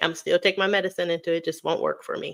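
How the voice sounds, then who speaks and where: The speaker is a woman. She sounds animated. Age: 40s. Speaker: weight loss vlogger and high school teacher. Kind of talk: live stream Q&A chat. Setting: live stream.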